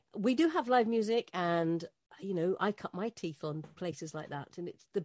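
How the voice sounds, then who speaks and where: Recorded very cleanly against a silent background, a woman with a British accent talks at a moderate pace, the sound dry and close with no echo. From Britain. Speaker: radio host. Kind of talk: interview.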